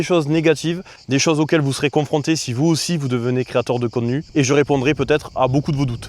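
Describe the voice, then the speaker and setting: This man talks at a very fast pace in a southern French accent, his fairly high voice keeping a fairly even intonation. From Marseille. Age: 30s. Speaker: streamer. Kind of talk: casual vlog talk to camera. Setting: outdoors.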